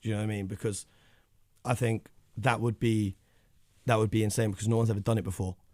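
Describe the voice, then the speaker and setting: With a London accent, a man talks at a very fast pace yet with long, frequent pauses, his fairly low voice monotone and flat. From North London, England. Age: 20s. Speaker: basketball media founder. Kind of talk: radio interview.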